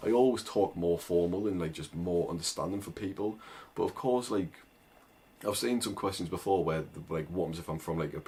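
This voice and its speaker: A man with a strong northern English accent speaks at a very deep, low pitch in a dark, mellow tone. His pace is fairly quick, and his pitch varies in an ordinary way. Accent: thick northern English. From northern England. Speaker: agency owner and online business coach. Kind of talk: casual tutorial to camera. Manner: informal, with many fillers and restarts.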